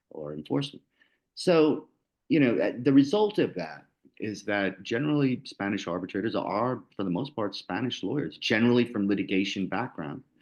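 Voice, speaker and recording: A man's medium-pitched voice with vocal fry and very wide pitch swings, at a moderate pace against a quiet background. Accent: American. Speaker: lawyer and arbitrator. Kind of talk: panel presentation. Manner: casual, many fillers and repetitions.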